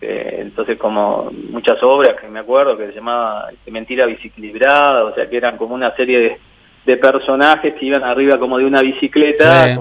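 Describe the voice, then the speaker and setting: With an unremarkable speaking voice, a man talks at a fairly quick pace with medium pitch, fairly even intonation and big swings in loudness. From Uruguay (Mercedes, Durazno, San José, Tacuarembó). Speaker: mentalist and painter. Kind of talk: radio interview. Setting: phone call. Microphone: poor mobile phone line.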